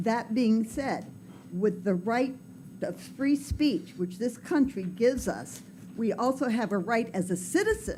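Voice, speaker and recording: A woman's somewhat breathy, dark, mellow voice moves at a fairly slow pace. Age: 70s. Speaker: public commenter. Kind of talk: public comment at council meeting.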